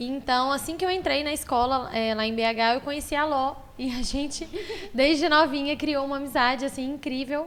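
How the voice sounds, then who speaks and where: This woman talks at a high pitch, her pitch varying in an ordinary way. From Belo Horizonte, Brazil (born in Maranhão, moved at 10). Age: 30s. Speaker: furniture store owner. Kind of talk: podcast interview.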